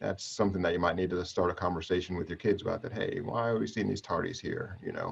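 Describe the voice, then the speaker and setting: A man with a fairly low pitch rattles along at a very fast pace, his intonation fairly even. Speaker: tech trainer. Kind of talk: online training session.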